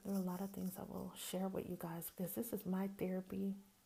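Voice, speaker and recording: In an American accent, a woman speaks at a medium pitch in a dark, mellow, somewhat breathy tone with monotone, flat intonation. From US South, Greenwood, Mississippi. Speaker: podcast host. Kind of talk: casual monologue.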